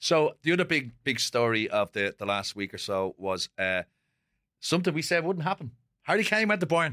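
A man with an Irish accent speaks at a moderate pace, his tone bright and sharp with very wide pitch swings. The recording is very clean, with a silent background and a dry, close sound with no echo. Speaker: podcast host. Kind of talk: casual chat. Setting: studio.

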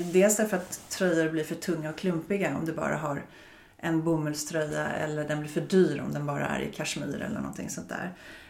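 At a fairly quick pace, a woman speaks with a very deep, low pitch and fairly even intonation. Audible room echo surrounds the voice. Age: 50s. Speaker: fashion buyer. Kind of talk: casual interview.

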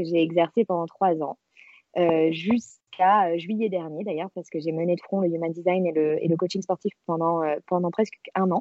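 A woman's medium-pitched, unremarkable speaking voice, delivered at a moderate pace. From France, Marseille. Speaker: self-knowledge coach. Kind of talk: casual interview.

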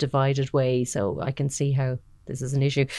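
With an Irish accent, a woman talks at a moderate pace in a very deep, low pitch and a dark, mellow tone over a quiet background. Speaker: podcast host, managing editor. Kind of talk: interview.

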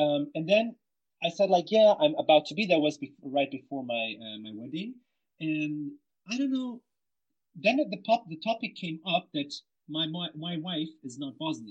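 Big swings in loudness and very wide pitch swings mark this man's fairly high voice as he speaks at a moderate pace. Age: 30s. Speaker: statistics master's student. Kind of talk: group discussion.

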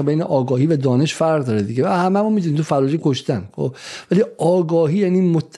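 A man talks in a dark, mellow tone with lively intonation. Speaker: podcast host. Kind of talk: interview discussion.

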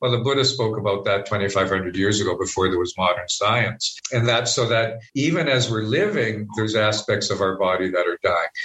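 A man with a Canadian accent talks with hardly any pauses and at a very even loudness. Noticeable background noise runs behind him. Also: ordinary pitch variation, moderate pace. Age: 50s. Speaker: spiritual director. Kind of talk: interview conversation.

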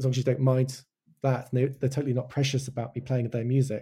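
A man with a medium-pitched, somewhat breathy voice and a dark, mellow tone. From Wales. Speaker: animation director. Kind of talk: casual interview chat.

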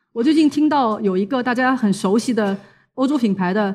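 A woman talks at a fairly quick pace with a fairly high pitch and lively intonation against a quiet background. She has an ordinary speaking voice. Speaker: international journalist and speaker. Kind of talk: talk to an audience. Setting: stage with audience.

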